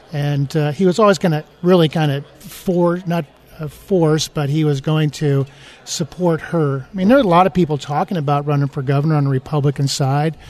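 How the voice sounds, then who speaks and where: Against noticeable background noise, a man with an American accent speaks fairly quickly in a fairly high pitch with fairly even intonation. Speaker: mayor and political candidate. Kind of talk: radio interview. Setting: conference, recorded live.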